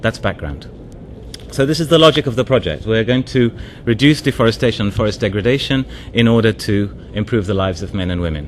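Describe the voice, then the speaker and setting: Over noticeable background noise, a man with a medium-pitched voice talks at a very fast pace with lively intonation. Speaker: development NGO advisor. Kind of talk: conference presentation. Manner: hesitant, many fillers.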